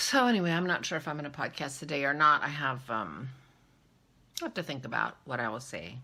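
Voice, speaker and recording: A woman talks very fast in a very deep, low voice with vocal fry. Her tone is bright and sharp. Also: lively intonation. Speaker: knitting vlogger. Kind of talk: casual vlog monologue. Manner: quiet, soft-spoken; hesitant, filler words.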